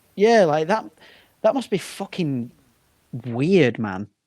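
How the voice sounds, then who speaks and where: The speaker is a man with a northern English accent. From northern England, working-class town. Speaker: band frontman and comedian. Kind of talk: casual chat.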